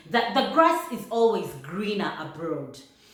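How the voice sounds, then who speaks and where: A woman with a fairly high voice talks while noticeable noise sits in the background. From Uganda. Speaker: vlogger. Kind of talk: casual talk to camera.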